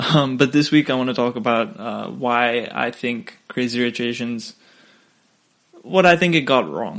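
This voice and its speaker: A man with a non-native accent speaks at a medium pitch and a fairly slow pace. His intonation is lively. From Singapore. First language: not English. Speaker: podcast host. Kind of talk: casual solo podcast monologue. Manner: hesitant, many fillers.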